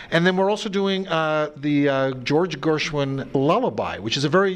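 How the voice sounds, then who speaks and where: Over noticeable background noise, a man with an American accent speaks at a moderate pace in a fairly high voice with lively intonation. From Australia, Sydney. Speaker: orchestra conductor. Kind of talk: TV interview.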